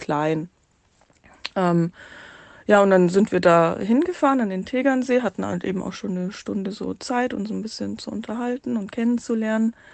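An unremarkable speaking voice goes at a fairly quick pace with ordinary pitch variation. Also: woman. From Munich area, Bavaria. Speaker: listener sending a voice message, single mother. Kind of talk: recorded voice message telling a personal story.

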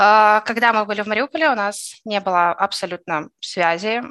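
Against a quiet background, a woman with a bright, sharp tone speaks at a moderate pace and medium pitch with ordinary pitch variation. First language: Russian (speaking German). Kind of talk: interview testimony.

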